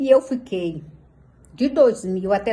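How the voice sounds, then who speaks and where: The voice belongs to a woman and has a dark, mellow tone. It sounds somewhat breathy. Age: 60s. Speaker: pastor. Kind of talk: testimony. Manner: animated.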